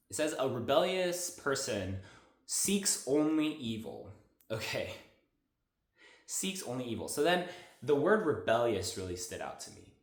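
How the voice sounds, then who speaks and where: With an animated tone and vocal fry, a man makes very wide pitch swings and big jumps in loudness, leaving long, frequent pauses amid audible room echo. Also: fairly high pitch for a man. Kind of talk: devotional monologue. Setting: at a friend's house, on a couch. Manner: fast.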